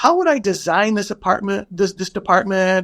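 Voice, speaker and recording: The man's voice is high-pitched, heard over a quiet background. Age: 60s. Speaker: company executive. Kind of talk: casual interview conversation.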